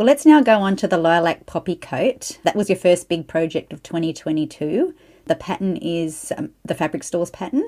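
With hardly any pauses, a woman speaks at a moderate pace in a dark, mellow tone of medium pitch with very wide pitch swings, in a very clean recording with a silent background. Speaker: podcast host. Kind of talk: casual interview chat.

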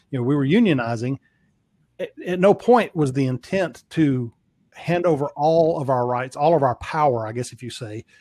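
In a Southern US accent, a man with a fairly high voice and a dark, mellow tone speaks at a moderate pace with ordinary pitch variation and big swings in loudness, in a dry, close sound with no echo. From US South. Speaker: podcast guest. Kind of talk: casual chat.

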